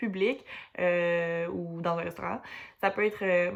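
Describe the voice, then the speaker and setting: A woman at a medium pitch and a fairly slow pace, in a Quebec accent. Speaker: student teacher. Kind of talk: class presentation. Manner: hesitant, many fillers.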